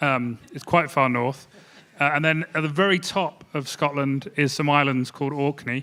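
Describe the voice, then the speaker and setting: A man with a slight English accent speaks at a fairly slow pace in a fairly high pitch with a bright, sharp tone. His intonation is fairly even, on a very clean recording with a silent background. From England. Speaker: energy modeling company head. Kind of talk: conference panel presentation.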